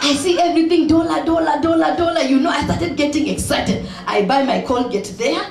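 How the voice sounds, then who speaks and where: An animated, fairly quick voice in a Kenyan accent with noticeable background noise. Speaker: speaker at charity event. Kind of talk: humorous speech to audience.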